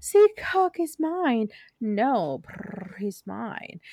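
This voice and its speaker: A woman adopts a put-on character voice pitched fairly high. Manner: dumb, airheaded, squabbling.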